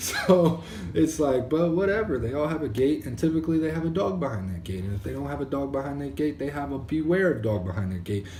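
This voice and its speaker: Talking very fast with hardly any pauses, a man with an American accent and a fairly high pitch swings his pitch very widely, amid noticeable background noise and audible room echo. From Maryland, US. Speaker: entrepreneur vlogger. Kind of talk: casual video diary monologue. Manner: fast when ranting; casual, lots of fillers.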